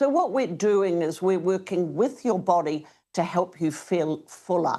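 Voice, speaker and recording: Against a quiet background, a woman with a New Zealand accent speaks with a dark, mellow tone at a very even loudness. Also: medium pitch for a woman, ordinary pitch variation, fairly slow pace. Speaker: product spokesperson. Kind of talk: interview.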